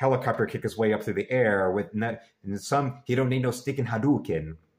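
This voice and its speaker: Somewhat breathy, a man's voice moves through ordinary pitch variation. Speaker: fan vlogger. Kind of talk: casual vlog chat. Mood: earnest, admiring tribute. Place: home room. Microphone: webcam.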